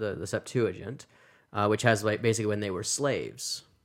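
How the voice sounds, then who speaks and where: This man has a normal speaking voice, fairly low in pitch, with fairly even intonation. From Massachusetts. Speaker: seminary professor. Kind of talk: casual interview.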